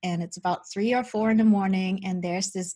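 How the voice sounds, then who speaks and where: Against a quiet background, a woman speaks at medium pitch in a somewhat breathy voice. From Germany. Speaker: spiritual medium and teacher. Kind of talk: interview about spirituality.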